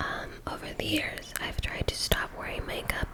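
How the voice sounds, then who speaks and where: Fairly slow whispering from a woman, with noticeable background noise. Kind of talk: ASMR makeup tutorial, casual talk to camera. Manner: whispered, soft-spoken.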